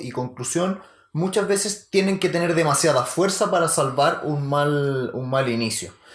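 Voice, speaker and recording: Lively intonation at a fairly slow pace, with a Chilean accent. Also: man, very clean recording, silent background. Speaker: podcast co-host. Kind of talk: casual chat.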